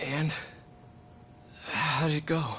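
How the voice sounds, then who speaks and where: A man does a put-on character voice that is raspy and fairly high-pitched, with clear background noise behind him. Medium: video game.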